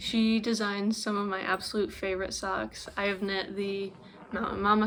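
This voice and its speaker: A woman's medium-pitched voice at a fairly slow pace, with monotone, flat intonation. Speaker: knitting podcaster. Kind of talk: casual vlog chat.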